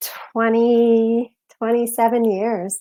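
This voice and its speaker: The recording is very clean, with a silent background. A woman with an American accent speaks at a fairly high pitch. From US Southwest and Massachusetts. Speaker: novelist. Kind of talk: interview.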